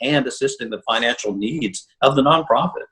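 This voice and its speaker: This is a man talking. He speaks at a medium pitch. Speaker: journalist and fundraising consultant. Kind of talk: interview conversation. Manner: fast when wound up.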